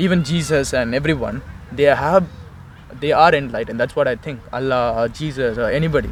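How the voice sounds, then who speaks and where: Over noticeable background noise, a man speaks very fast with a Tamil accent. His fairly high voice has ordinary pitch variation. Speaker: Osho follower, interviewee. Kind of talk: street conversation about faith. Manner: halting, many fillers.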